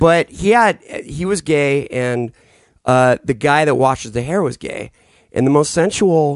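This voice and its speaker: A man in a normal speaking voice, fairly high in pitch, at a fairly slow pace with lively intonation, in a dry, close sound with no echo. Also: quiet background. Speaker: podcast co-host. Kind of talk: casual chat.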